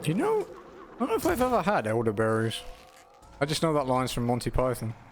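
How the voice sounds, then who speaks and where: Noticeable background noise runs behind a man speaking at a very fast pace. His loudness stays very even. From Britain. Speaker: video game streamer. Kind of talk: casual gameplay commentary. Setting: live stream while gaming.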